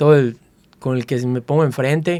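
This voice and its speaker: This is a man's voice. His pitch sits fairly high. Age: 60s. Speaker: interviewee sharing life story. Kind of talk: interview.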